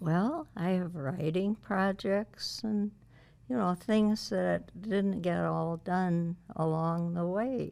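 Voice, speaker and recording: Against a very clean recording with a silent background, a woman speaks very slowly at a fairly low pitch in a dark, mellow tone with ordinary pitch variation. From Ohio, US Midwest (Toledo area). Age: 80s+. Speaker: local historian and author. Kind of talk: interview.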